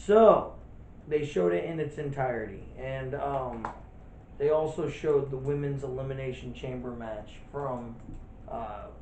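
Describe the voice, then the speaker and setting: A man at a fairly slow pace, with long, frequent pauses, big swings in loudness, ordinary pitch variation and audible room echo. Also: medium pitch for a man. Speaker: wrestling podcast co-host. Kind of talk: casual chat. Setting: empty room, no audience.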